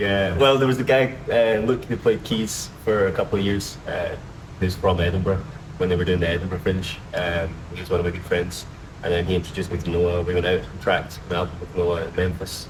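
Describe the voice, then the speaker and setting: A man with a strong Scottish accent speaks at a fairly quick pace in a very deep, low pitch. His pitch varies in an ordinary way, and there is audible room echo along with noticeable background noise. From Scotland, Glasgow. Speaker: drummer. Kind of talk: casual interview.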